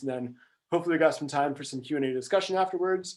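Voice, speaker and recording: A man speaks with ordinary pitch variation. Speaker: climate finance presenter. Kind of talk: presentation. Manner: fast; hesitant, many ums.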